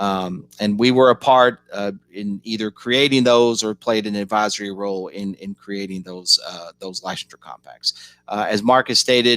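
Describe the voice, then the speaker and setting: A man talks at a moderate pace with a fairly low pitch and flat, monotone intonation. The sound is dry and close, with no echo. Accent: Kentucky. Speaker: policy organization director. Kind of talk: online panel presentation. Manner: halting, many fillers.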